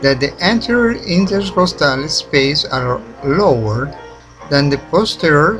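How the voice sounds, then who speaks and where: Very slow, lively male speech with a non-native accent at a fairly high pitch, with music in the background. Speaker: independent researcher. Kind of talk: documentary narration.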